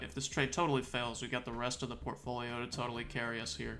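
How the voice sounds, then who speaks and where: Talking at a very fast pace, a man has a bright, sharp tone. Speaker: options trading streamer. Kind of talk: live market commentary. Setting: live stream with screen share.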